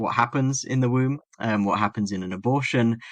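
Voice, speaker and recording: A man with an English accent against a quiet background. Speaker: philosophy academic and medical doctor. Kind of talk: podcast interview.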